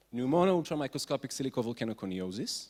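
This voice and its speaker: A plain, everyday voice at a fairly quick pace, in a very clean recording with a silent background. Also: man. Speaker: physician. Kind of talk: conference talk.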